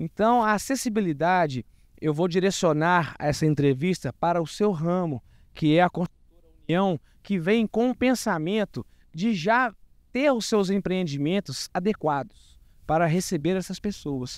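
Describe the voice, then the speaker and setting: A man with a high pitch and lively intonation speaks fairly slowly, the sound dry with no echo over a quiet background. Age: 40s. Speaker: guest. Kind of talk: interview. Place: open country. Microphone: handheld.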